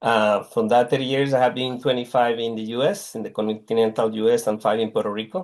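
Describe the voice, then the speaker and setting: At a fairly quick pace, a man with a Mexican accent and medium pitch keeps his intonation fairly even. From Mexico. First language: Spanish. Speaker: technology executive. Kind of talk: casual interview.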